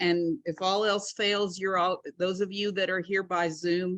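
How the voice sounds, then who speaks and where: A woman's medium-pitched voice comes through over a quiet background. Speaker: club chapter leader. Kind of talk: meeting announcements. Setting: hybrid meeting, in person and Zoom. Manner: loud.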